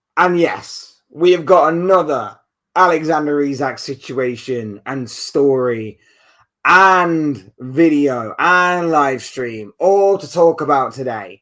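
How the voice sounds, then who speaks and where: Very slow, lively intonation from a man with a British accent, a fairly high pitch and a bright, sharp tone, on a very clean recording with a silent background. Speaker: football YouTuber. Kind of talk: live stream chat. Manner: casual, conversational.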